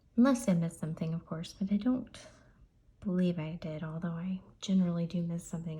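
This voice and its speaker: Soft-spoken and somewhat breathy, a woman talks in a dark, mellow tone with ordinary pitch variation. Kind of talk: lottery scratch-off commentary.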